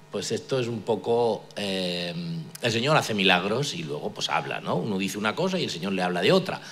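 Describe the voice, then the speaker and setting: A man talks at a fairly quick pace in a fairly low pitch, with ordinary pitch variation. Noticeable background noise and audible room echo surround him. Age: 60s. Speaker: pastor. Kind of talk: sermon. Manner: halting.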